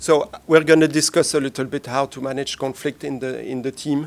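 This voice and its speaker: A man speaks at a moderate pace and a medium pitch in a flat monotone. His loudness swings widely, but the recording is very clean with a silent background. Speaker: panelist on team science, former lab researcher. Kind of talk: panel presentation. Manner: halting, many fillers.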